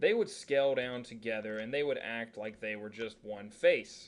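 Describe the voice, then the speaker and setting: The pace here is moderate, and it is a normal speaking voice. Pitch moves in a typical way. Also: man. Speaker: 3D modeling instructor. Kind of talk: tutorial.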